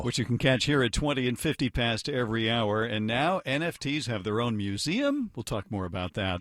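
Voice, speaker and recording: Talking at a fairly quick pace with hardly any pauses, a man uses an unremarkable speaking voice of medium pitch with ordinary pitch variation. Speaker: radio news anchor. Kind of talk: radio newscast anchor read.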